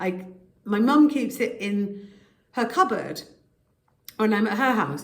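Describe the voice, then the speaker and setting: A woman with a British accent and a fairly high pitch speaks at a fairly slow pace, taking long, frequent pauses. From United Kingdom. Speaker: voice actor. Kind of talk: casual talk to camera. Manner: stream of consciousness, ranting.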